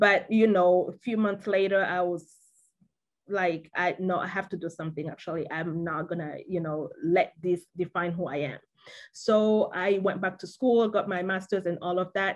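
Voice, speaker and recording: A moderate pace with fairly even intonation. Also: woman, medium pitch for a woman. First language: French. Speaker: panel guest. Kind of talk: interview. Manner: halting.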